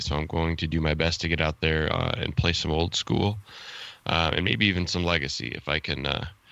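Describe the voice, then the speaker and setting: A man speaks with an American accent in a very deep, low voice. His intonation stays fairly even. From Chicago, US. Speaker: podcast co-host. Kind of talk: casual podcast interview.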